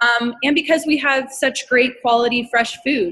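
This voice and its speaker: An ordinary speaking voice from a woman with an American accent, fairly high in pitch, with ordinary pitch variation, at a moderate pace. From Colorado. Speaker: restaurant owner. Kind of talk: casual interview.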